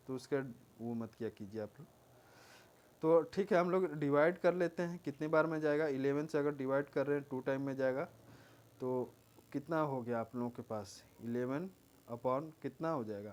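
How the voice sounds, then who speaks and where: The man's voice is quiet and fairly high in pitch. He leaves long pauses, and they come often. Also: ordinary pitch variation, moderate pace. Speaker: exam coaching teacher. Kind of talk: tutorial. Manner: quiet, moderate volume.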